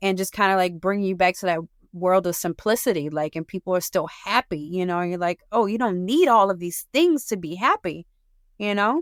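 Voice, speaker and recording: Speaking at a fairly quick pace with a Southern US accent and ordinary pitch variation, this voice sounds dry and close with no echo on a very clean recording over a silent background. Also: woman, medium pitch for a woman. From New Orleans, Louisiana. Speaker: small business owner. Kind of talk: interview. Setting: studio. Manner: casual, hesitant with fillers.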